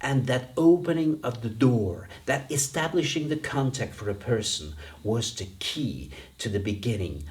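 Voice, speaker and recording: With vocal fry and very wide pitch swings, a man talks at a fairly slow pace amid audible room echo. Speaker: dean and business coach. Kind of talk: lecture. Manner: conversational.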